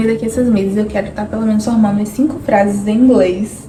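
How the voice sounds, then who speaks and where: A woman talks at a fairly high pitch with fairly even intonation. Noticeable background noise runs under her voice. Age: 20s. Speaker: vlogger. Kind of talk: personal vlog monologue.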